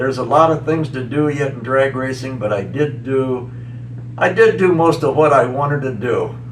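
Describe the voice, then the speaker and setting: Speaking at a moderate pace, a man with an American accent has a medium pitch and ordinary pitch variation. The recording carries noticeable background noise and audible room echo. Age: 70s. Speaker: tractor pulling champion. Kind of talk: interview. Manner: halting.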